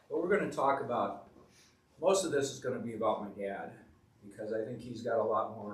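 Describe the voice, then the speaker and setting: Somewhat breathy, a man with a medium pitch talks at a fairly quick pace. His pitch varies in an ordinary way, and there is audible room echo. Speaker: family history presenter. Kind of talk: community talk. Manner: soft-spoken.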